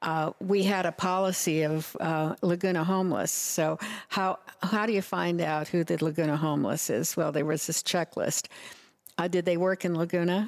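An unremarkable speaking voice moves at a moderate pace with very even loudness and fairly even intonation. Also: woman, fairly low pitch for a woman. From Nebraska. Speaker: city council member and former mayor. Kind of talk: interview.

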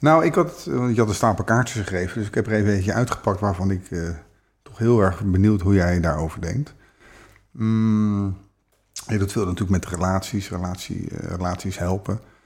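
A man's normal speaking voice at a moderate pace. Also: fairly low pitch for a man, ordinary pitch variation. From Netherlands, The Hague. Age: 50s. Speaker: relationship coach. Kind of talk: casual chat. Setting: in person, The Hague area.

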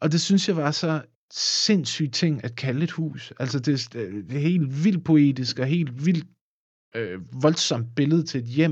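Here a man talks at a very slow pace with lively intonation. His fairly high voice is somewhat breathy. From Denmark, Funen (near Odense). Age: 30s. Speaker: musician and film composer. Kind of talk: casual interview. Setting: studio. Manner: halting, many repeated words.

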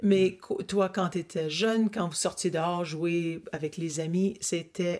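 Speaking very slowly, a woman keeps a fairly low pitch in a monotone, flat delivery. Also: very clean recording, silent background. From Ottawa, Ontario. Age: 60s. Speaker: interviewer of her father. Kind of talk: family interview. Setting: family cottage.

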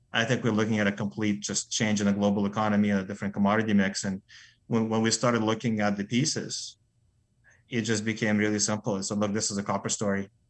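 A man at a very fast pace and fairly low pitch, in a monotone, flat intonation, with a quiet background. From Soviet Union, moved to US at 11. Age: 40s. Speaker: mining company CEO. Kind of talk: interview.

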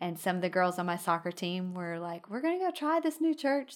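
Recorded very cleanly with a silent background, a woman with a Texan accent speaks at a fairly low pitch. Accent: Texan US Southern. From Texas, Midland. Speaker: pastor's wife. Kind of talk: casual chat. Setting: in-person studio office.

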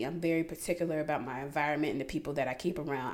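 A woman speaks in an animated tone with an American accent. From US South, south side of Atlanta. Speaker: podcast host. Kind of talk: casual monologue. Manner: animated, frequent laughter.

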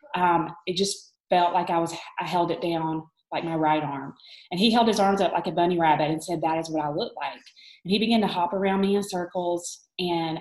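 Fairly low-pitched woman in a Southern US accent, fairly even intonation, moderate pace. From Alabama, US South. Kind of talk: online group talk, faith testimony.

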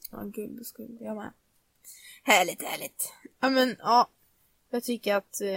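A woman's fairly slow speech, fairly high in pitch with ordinary pitch variation, big swings in loudness and long, frequent pauses, in a dry, close sound with no echo. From Nora, Sweden. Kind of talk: casual chat. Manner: casual, storytelling.

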